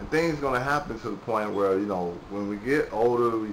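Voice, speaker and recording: There is audible room echo and noticeable background noise as a man of medium pitch talks at a fairly quick pace with lively intonation. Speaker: vlogger. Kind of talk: casual monologue. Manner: halting; rambling filler-heavy.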